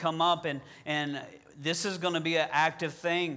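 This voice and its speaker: In a Southern US accent, a man speaks with a bright, sharp tone. His intonation is monotone and flat. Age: 40s. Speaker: pastor. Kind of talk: sermon. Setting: church. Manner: halting, with many filler words.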